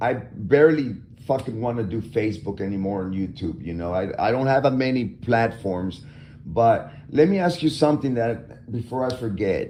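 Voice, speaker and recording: Lively intonation marks this man's ordinary speaking voice, delivered at a moderate pace. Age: 50s. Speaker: live stream host. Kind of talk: casual chat.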